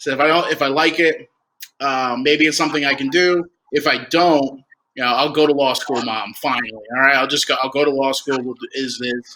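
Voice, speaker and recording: A man with a New Jersey accent speaks at a fairly quick pace in a fairly high pitch, his tone bright and sharp and his intonation fairly even. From New Jersey, Toms River. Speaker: minor league baseball executive. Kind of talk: casual interview.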